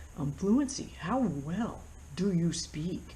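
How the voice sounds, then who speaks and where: A woman with an American accent, somewhat breathy, very slow, lively in intonation, with audible room echo. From United States. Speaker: flight instructor. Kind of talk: tutorial. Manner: casual, with many fillers.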